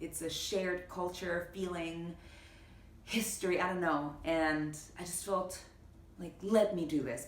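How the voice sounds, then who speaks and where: A woman's fairly low voice, fairly even in intonation, at a fairly slow pace with long, frequent pauses, amid noticeable background noise. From Panama. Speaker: actress. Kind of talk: interview answer.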